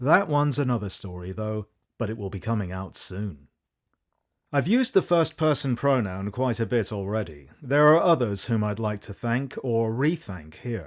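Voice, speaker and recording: On a very clean recording with a silent background, a man with an ordinary speaking voice talks at a moderate pace and medium pitch, with lively intonation. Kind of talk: audiobook foreword reading.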